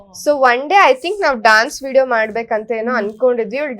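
A woman's high-pitched voice. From Malnad region, Karnataka. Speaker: social media content creator. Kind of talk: casual interview chat.

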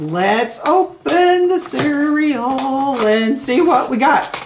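A woman's high-pitched voice with big pitch swings and audible room echo

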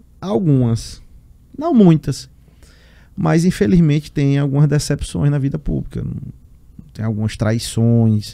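A man with a fairly high pitch speaks at a fairly slow pace with lively intonation and long, frequent pauses over a quiet background. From Piauí, Brazil (Teresina); Piauí, Brazil. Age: 20s. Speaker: state politician. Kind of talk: interview. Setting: studio. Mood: reflective, somewhat earnest. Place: studio. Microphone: studio mic.

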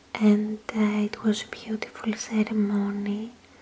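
A woman's fairly high, monotone and flat voice at a very slow pace, with noticeable background noise. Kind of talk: casual talk to camera.

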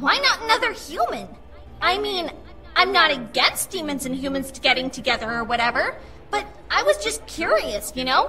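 A woman uses a put-on character voice with an extremely high pitch and very wide pitch swings. She keeps a moderate pace over clear background noise. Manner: bouncy, casual, excitable.

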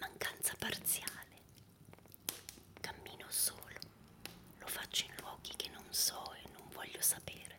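Someone whispers at a fairly slow pace, with long, frequent pauses. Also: man. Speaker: poetry reader. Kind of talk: poetry reading. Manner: whispered, soft-spoken. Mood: calm, intimate, melancholic.

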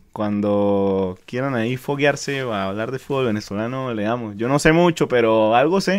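A man at a moderate pace, with lively intonation and hardly any pauses. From Venezuela. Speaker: football podcast co-host. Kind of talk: casual chat. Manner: animated. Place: studio. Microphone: studio mic.

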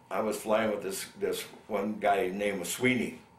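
A man speaks with audible room echo. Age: 70s. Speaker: Vietnam war veteran. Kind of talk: oral history interview. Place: home room.

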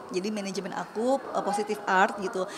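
A woman with a medium pitch talks at a fairly quick pace amid noticeable background noise. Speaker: singer and housewife. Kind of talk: casual interview chat. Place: studio.

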